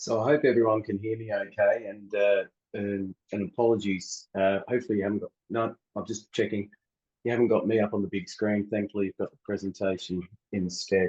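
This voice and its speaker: A man with an Australian accent speaks fairly quickly at a fairly low pitch, with fairly even intonation and big swings in loudness. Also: dry, close sound with no echo. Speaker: water utility researcher. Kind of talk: conference presentation. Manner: halting.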